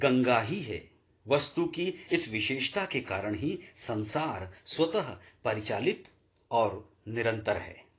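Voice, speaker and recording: With long, frequent pauses, a man speaks in a somewhat breathy, medium-pitched voice with lively intonation. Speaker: audiobook narrator. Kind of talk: audiobook reading of a religious philosophy text.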